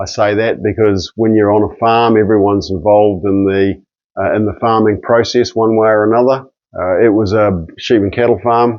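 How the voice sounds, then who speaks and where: A man's fairly low voice at a moderate pace, with fairly even intonation. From New Zealand, near Nelson, South Island. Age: 60s. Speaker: registered nurse and nutrition educator. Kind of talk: personal introduction monologue. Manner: halting, with frequent fillers and repeats.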